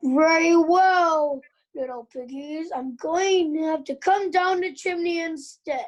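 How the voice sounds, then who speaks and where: A put-on character voice, extremely high and fairly slow. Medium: read story. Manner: blustering, menacing.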